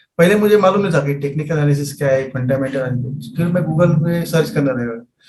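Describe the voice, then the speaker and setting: Audible room echo follows a man who speaks at a moderate pace with ordinary pitch variation. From Maharashtra, India. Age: 50s. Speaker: trader, mechanical engineer. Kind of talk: interview. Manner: halting.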